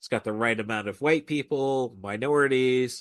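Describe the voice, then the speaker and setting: A man speaks at a medium pitch with ordinary pitch variation, in an American accent. It is an ordinary speaking voice, with a dry, close sound with no echo and a quiet background. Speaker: podcast host. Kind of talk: casual chat.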